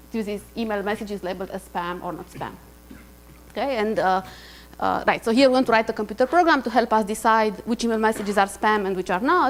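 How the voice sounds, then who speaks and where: Over music in the background, a woman talks at a very fast pace with a fairly high pitch and ordinary pitch variation. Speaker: university lecturer. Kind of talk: lecture. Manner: hesitant with many fillers.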